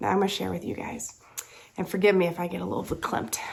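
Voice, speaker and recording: Here a woman speaks with a Southern US accent. Her pitch is medium. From US South. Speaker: crafting vlogger. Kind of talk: casual chat.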